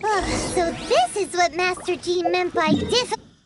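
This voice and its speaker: In a put-on character voice, the speaker uses an extremely high pitch at a moderate pace. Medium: video game. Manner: chatty, expressive.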